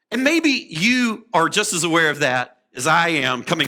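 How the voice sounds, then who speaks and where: Animated in tone, a man speaks at a fairly slow pace with very wide pitch swings. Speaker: preacher. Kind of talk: sermon.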